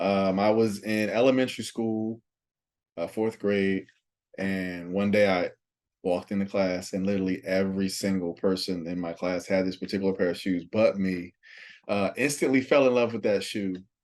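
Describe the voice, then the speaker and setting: An unremarkable speaking voice from a man with an American accent, fairly low in pitch, fairly even in intonation, at a moderate pace against a quiet background. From South Jersey, US (Pleasantville, near Atlantic City). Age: 30s. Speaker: sneaker collector. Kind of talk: casual chat.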